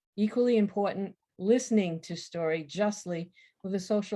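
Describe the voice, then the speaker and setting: Ordinary pitch variation marks a woman's speech, her tone dark and mellow. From Maine, Waterville. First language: French. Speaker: writer and retired university instructor. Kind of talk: lecture. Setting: virtual program.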